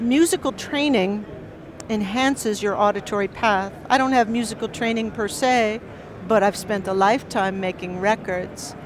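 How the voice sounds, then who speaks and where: Over noticeable background noise, a woman with an American accent talks at a moderate pace, her fairly high pitch showing ordinary variation. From United States. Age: 60s. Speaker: professor and record producer. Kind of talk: lecture. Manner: animated.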